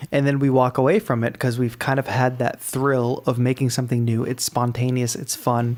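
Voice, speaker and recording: A man speaks at a moderate pace with an American accent, his pitch medium and intonation fairly even. It is a plain, everyday voice. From Massachusetts. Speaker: music producer and call-in show host. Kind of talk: live call-in show.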